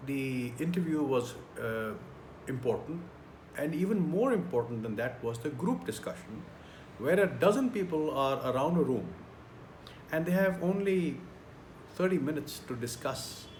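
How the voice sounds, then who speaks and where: Somewhat breathy and fairly high-pitched, a man talks at a moderate pace with lively intonation and long, frequent pauses, in audible room echo. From India. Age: 60s. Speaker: career trainer. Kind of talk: tutorial.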